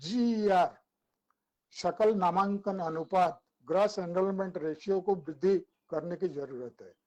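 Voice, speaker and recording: Speaking with an Odia accent, a man has a high pitch, a dark, mellow tone and ordinary pitch variation. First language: Odia (speaking Hindi). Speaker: academic speaker. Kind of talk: webinar talk. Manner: halting, with filler sounds.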